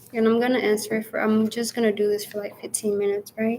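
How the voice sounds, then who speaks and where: In an American accent, a woman talks with monotone, flat intonation. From Phoenix, Arizona, US. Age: 20s. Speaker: YouTuber. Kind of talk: casual Q&A livestream. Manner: casual, hesitant with fillers.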